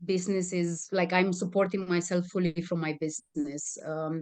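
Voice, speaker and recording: A woman speaks with a Romanian accent. Her pitch is medium and her intonation fairly even. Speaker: communication and stress management trainer. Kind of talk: interview.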